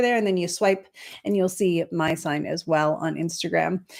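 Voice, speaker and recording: Fairly quick pace from a woman, her pitch varying in an ordinary way. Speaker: astrologer and spiritual teacher. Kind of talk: casual livestream chat. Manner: fast.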